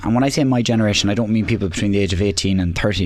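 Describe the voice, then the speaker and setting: Against noticeable background noise, a man with an Irish accent and a fairly low pitch talks at a very fast pace. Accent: Irish (Louth). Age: 20s. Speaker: election candidate, local councillor. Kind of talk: radio debate. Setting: radio studio.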